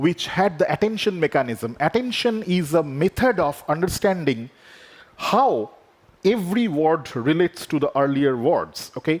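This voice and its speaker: With a Bengali accent, a man speaks at a fairly high pitch, his voice swinging very widely in pitch while his loudness stays very even. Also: moderate pace. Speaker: AI researcher. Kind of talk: conference keynote talk.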